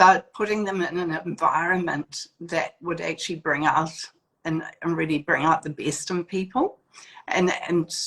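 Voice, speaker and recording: A woman speaks with a New Zealand accent and fairly even intonation. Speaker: etiquette school founder. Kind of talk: interview. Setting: video call. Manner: hesitant with many fillers.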